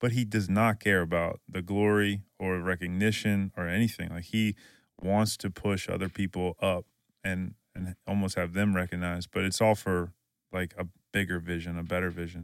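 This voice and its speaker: Dry and close with no echo, the recording has a man with an American accent speaking at a moderate pace in a very deep, low, monotone voice. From Louisiana. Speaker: podcast co-host. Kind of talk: casual chat.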